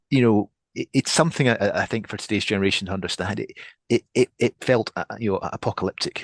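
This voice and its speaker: Ordinary pitch variation runs through this man's Scottish accent. He talks at a very fast pace. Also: medium pitch for a man, dry, close sound with no echo, quiet background. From Scotland. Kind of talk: podcast interview. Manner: halting, many repetitions.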